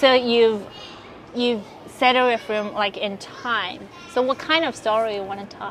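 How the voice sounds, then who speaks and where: Noticeable background noise sits behind a woman with a Chinese accent. She speaks at a fairly slow pace and a fairly high pitch. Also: ordinary pitch variation. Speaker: podcast host. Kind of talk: casual interview. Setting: outdoors in a park.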